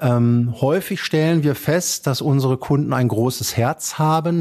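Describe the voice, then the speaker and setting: A man with a normal speaking voice talks at a fairly slow pace, medium in pitch with ordinary pitch variation. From Germany, Dortmund (Ruhr area). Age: 40s. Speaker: estate executor and bank advisor. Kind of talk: interview.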